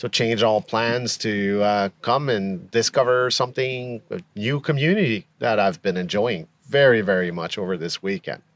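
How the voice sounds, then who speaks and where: A man with a Quebec accent speaks at a moderate pace with hardly any pauses, in a medium pitch with lively intonation. The sound is dry and close, with no echo. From Quebec, Montreal. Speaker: camper vendor. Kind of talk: casual interview. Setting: at an outdoor camping event.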